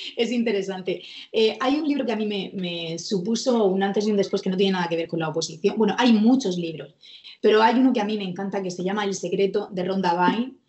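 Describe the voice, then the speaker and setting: Speaking at a very fast pace, a woman uses medium pitch with ordinary variation. There is noticeable background noise. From Murcia, Spain. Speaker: court clerk and exam coach. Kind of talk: interview.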